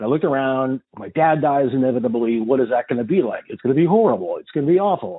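A man's medium-pitched voice at a very fast pace, with lively intonation. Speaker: podcast host and therapist. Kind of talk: casual interview chat. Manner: animated, jokey.

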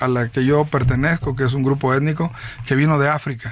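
With noticeable background noise behind him, a man talks at a fairly quick pace. His voice sits fairly high. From Veracruz, Mexico (Tierra Blanca, Papaloapan basin). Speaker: politician. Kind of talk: interview.

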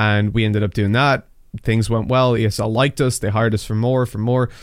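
Heard on a very clean recording with a silent background, a man with a slight Dublin accent and medium pitch talks at a very fast pace with fairly even intonation. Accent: Irish, Dublin, fairly mild. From Dublin, Ireland. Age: 20s. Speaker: esports commentator. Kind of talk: casual interview chat.

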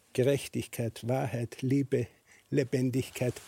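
A man with an Austrian accent speaks at a very slow pace. The sound is dry and close, with no echo. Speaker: shoe manufacturer. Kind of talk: panel discussion.

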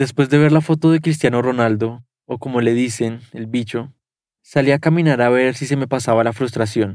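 The recording is very clean, with a silent background. An ordinary speaking voice moves at a moderate pace with fairly even intonation. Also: man, medium pitch for a man. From Colombia. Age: 20s. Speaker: journalist. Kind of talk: first-person narration.

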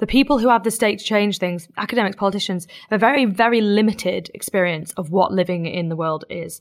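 Recorded very cleanly against a silent background, a woman with a southern English accent talks at a very fast pace, her medium pitch showing ordinary variation. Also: hardly any pauses. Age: 20s. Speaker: activist and campaigner. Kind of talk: interview.

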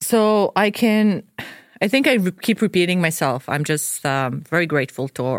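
Lively intonation marks this woman's speech. The recording is very clean, with a silent background. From Croatia, Dubrovnik. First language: Croatian. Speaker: video game producer. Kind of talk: casual chat. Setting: studio.

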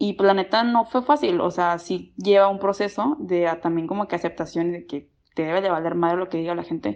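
Against a quiet background, a woman with a plain, everyday voice and medium pitch talks at a fairly quick pace with hardly any pauses and ordinary pitch variation. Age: 20s. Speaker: student and clothing brand founder. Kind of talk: personal testimony.

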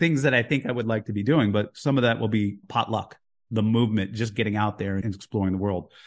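With an American accent, a man uses an ordinary speaking voice, fairly low in pitch and fairly quick in pace, against a quiet background. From US (Houston and Jersey City). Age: 50s. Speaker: author and investor. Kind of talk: podcast interview.

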